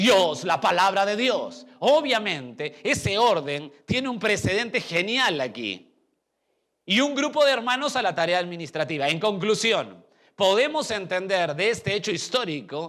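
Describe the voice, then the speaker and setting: Speaking at a fairly slow pace, a man with a high pitch and a bright, sharp tone makes very wide pitch swings. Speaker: pastor. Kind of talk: sermon.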